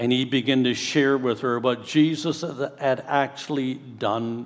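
A man speaks in an unremarkable speaking voice at a medium pitch. His intonation is fairly even. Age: 60s. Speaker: pastor. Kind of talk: sermon. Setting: church.

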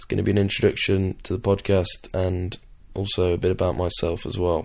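Speaking with an English accent, a man is heard on a very clean recording against a silent background. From England. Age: young. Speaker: podcast host, student rugby player. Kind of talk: casual monologue. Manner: hesitant, many fillers.

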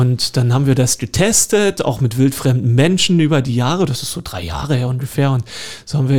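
A man with a medium pitch and a somewhat breathy voice speaks with lively intonation. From Lusatia, eastern Saxony (Görlitz, Horka). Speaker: park director and garden historian. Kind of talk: radio interview. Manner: hesitant, many fillers.

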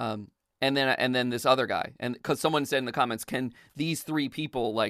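With an American accent, a man speaks at a fairly quick pace at medium pitch, his tone bright and sharp with vocal fry. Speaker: voiceover studio owner and coach. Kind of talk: casual interview. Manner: casual, laughs often.

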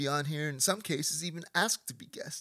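On a very clean recording with a silent background, a normal speaking voice moves at a moderate pace. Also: man. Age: 30s. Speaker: podcast host. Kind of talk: casual interview. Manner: comedic monologue delivery.

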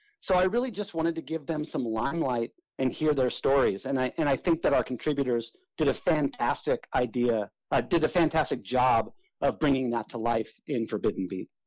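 A man with an American accent and a normal speaking voice, medium-pitched, at a fairly quick pace with ordinary pitch variation, in a dry, close sound with no echo. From Southern California. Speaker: author and punk drummer. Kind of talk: radio interview.

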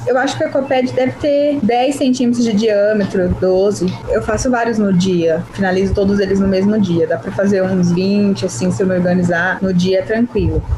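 Over noticeable background noise and audible room echo, a woman at medium pitch talks at a moderate pace with hardly any pauses, very even loudness and lively intonation. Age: 20s. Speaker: journalist and handbag entrepreneur. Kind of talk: casual interview.

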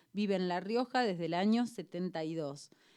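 A woman's medium-pitched voice with a dark, mellow tone and ordinary pitch variation, very clean recording with a silent background. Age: 40s. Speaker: radio host. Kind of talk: radio interview, casual chat. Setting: radio studio.

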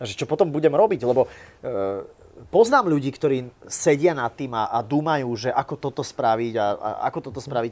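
A man speaks in an unremarkable speaking voice at a fairly high pitch and a moderate pace, with big swings in loudness. The recording is very clean, with a silent background. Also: lively intonation. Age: 30s. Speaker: YouTuber and vlogger. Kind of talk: live interview before an audience.

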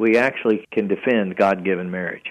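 A man with a Southern US accent speaks at a moderate pace in a fairly low pitch, his intonation fairly even against a quiet background. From US South, Chattanooga area. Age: 60s. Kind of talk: radio interview.

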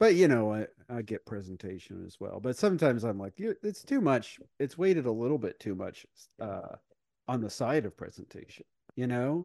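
With a slight Midwestern US accent, a man talks at a moderate pace, his pitch swinging very widely and his loudness rising and falling sharply, in a dry, close sound with no echo. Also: medium pitch for a man. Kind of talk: casual chat.

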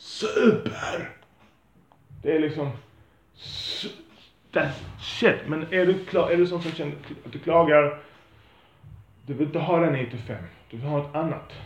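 A man with a fairly high pitch speaks at a fairly slow pace. There are long, frequent pauses, and audible room echo. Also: ordinary pitch variation. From Sweden, Lund. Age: 40s. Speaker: podcaster. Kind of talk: monologue. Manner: halting.

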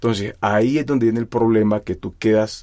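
In a very clean recording with a silent background, a man speaks with a dark, mellow tone, a fairly low pitch and fairly even intonation. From Colombian Pacific coast, Timbiquí (Cauca). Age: 30s. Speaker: musician. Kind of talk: interview. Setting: studio.

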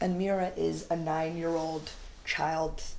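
The speaker has an American accent and lively intonation. Audible room echo surrounds the voice. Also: woman. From United States. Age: 30s. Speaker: comedian. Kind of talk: casual chat.

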